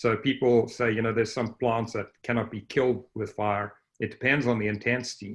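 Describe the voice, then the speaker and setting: Against a quiet background, a man with a Southern African accent talks fairly quickly at a medium pitch in a monotone, flat intonation. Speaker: range scientist. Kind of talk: panel discussion.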